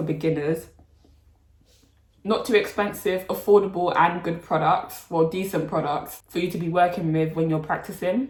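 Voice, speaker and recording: Fairly low-pitched and somewhat breathy, a woman talks in a London accent with fairly even intonation. Audible room echo surrounds her voice. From London, England. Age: 20s. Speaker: nail technician and YouTuber. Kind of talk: casual Q&A chat. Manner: casual, chatty.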